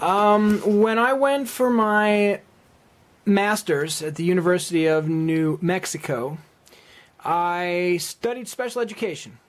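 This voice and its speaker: A man with a high voice talks at a very slow pace. His intonation is lively. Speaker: teacher applying for a job. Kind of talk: video job application. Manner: occasional stutter on word starts.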